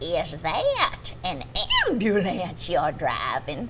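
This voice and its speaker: A woman does a put-on character voice at a very slow pace over loud background noise. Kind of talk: TV interview answer.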